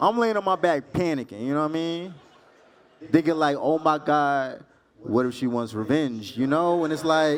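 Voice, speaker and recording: In an American accent, a man with a fairly high pitch and an animated tone speaks at a fairly slow pace with long, frequent pauses. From Texas. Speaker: stand-up comedian. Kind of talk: stand-up. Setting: stage with audience.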